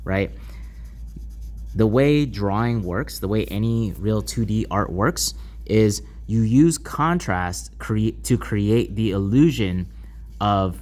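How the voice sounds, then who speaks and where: With audible room echo, a man speaks at a very slow pace, leaving long, frequent pauses. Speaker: art teacher. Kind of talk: lecture.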